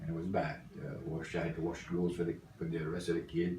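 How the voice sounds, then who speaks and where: A man's very deep, low voice, monotone and flat, at a fairly quick pace with audible room echo. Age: 70s. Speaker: grandfather interviewed for school project. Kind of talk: family interview. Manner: halting.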